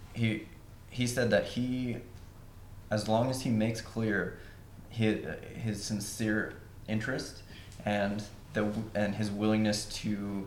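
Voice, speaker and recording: A man with an American accent speaks at a very slow pace with long, frequent pauses, his fairly low pitch delivered in a monotone, flat intonation amid audible room echo. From West Virginia, Huntington. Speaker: composer. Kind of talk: panel discussion.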